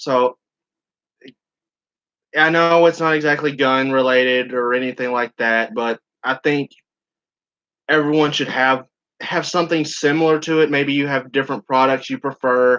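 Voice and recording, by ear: A man with a fairly bright, clear, smooth tone speaks at a fairly slow pace, leaving long, frequent pauses. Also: medium pitch for a man, fairly even intonation.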